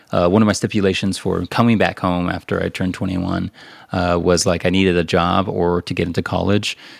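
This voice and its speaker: In an American accent, a man with a very deep, low pitch speaks at a fairly quick clip in a monotone, flat intonation, on a very clean recording with a silent background. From Southern California. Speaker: sound engineer and music minister. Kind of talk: interview testimony. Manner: casual, hesitant with fillers.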